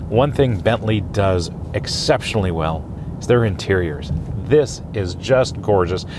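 A man with a fairly low pitch talks at a fairly slow pace with lively intonation, the sound dry with no echo amid noticeable background noise. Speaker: car reviewer. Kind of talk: car review commentary. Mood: enthusiastic, admiring. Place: car.

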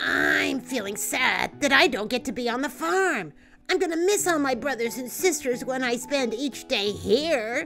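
Over clear music in the background, a female-sounding cartoonish character voice speaks at a high pitch and a moderate pace. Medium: puppet show. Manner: soft, sincere.

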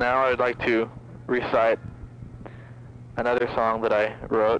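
A man's very slow, monotone, flat delivery, dry with no echo, over light background noise. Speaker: caller. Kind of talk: comedic phone message rambling. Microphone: phone line.

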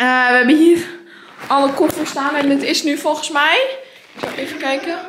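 This woman's voice sits high in pitch. There is light background noise and audible room echo. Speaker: vlogger. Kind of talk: casual vlog chat. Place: home room. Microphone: phone near.

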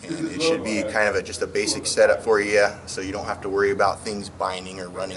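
There is noticeable background noise. Through it, a man's voice comes across. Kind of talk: tutorial. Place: garage.

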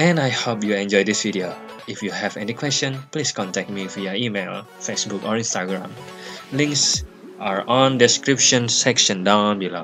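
Fairly low male voice at a moderate pace, ordinary pitch variation, with clear music in the background. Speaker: travel vlogger. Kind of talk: casual vlog chat. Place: waterside. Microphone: phone near.

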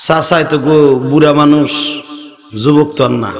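Over light background noise, a man speaks at a fairly high pitch. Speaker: Islamic preacher. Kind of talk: sermon. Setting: stage with audience. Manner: animated; loud. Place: stage. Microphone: podium.

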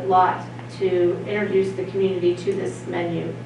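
A woman's voice with audible room echo and noticeable background noise. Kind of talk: meeting presentation. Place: meeting room.

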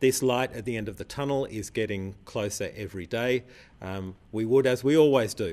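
A man at a moderate pace, with ordinary pitch variation and big swings in loudness. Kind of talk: public health briefing statement. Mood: calm, reassuring, measured. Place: studio.

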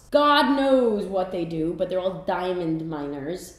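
Audible room echo follows a woman speaking at a moderate pace. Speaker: comedy sketch host. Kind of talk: comedic monologue to camera. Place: bathroom.

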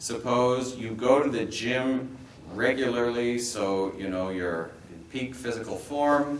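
This voice, in a Montreal accent, shows ordinary pitch variation, with audible room echo and light background noise. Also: man. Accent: Canadian English, Montreal. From Quebec. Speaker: bishop giving seminar. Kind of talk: lecture. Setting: stage with audience. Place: meeting room. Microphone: camera far.

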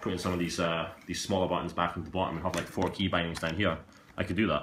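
A man at a very deep, low pitch and a very fast pace, with light background noise and audible room echo. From Scotland. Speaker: YouTuber, gaming streamer. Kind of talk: unboxing video. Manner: casual, hesitant with fillers. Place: home room.

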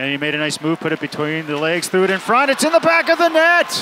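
With crowd noise in the background, a man's raised, projected voice shows very wide pitch swings in a dry sound with no echo. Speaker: play-by-play announcer. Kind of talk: live sports commentary (play-by-play). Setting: game broadcast highlights. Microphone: headset.

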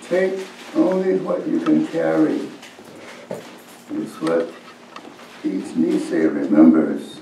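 A man at a very slow pace with long, frequent pauses, over light background noise and audible room echo. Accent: American. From United States. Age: 80s+. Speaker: poet. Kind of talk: poetry reading. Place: hall. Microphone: camera far.

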